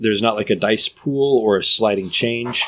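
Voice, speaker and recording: Here is a man with an ordinary speaking voice, fairly low in pitch and moderate in pace. His intonation stays fairly even, and the recording is very clean with a silent background. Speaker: game master. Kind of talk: tabletop role-playing game session, casual chat. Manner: narrating, descriptive.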